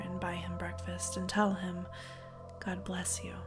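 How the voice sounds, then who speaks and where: With music in the background, a woman's speech moves along at a moderate pace. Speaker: storyteller. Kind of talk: dramatic story reading.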